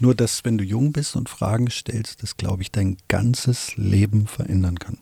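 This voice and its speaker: A man speaks in a plain, everyday voice at a fairly slow pace with fairly even intonation. The sound is dry and close, with no echo. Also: fairly low pitch for a man. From Wolfsburg, Lower Saxony, Germany. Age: 50s. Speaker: filmmaker and podcast co-host. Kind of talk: casual chat.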